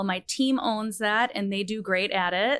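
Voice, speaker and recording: A woman speaks at a moderate pace and medium pitch in a plain, everyday voice. The recording is very clean, with a silent background. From Minnesota. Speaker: category management professional. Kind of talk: interview. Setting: studio.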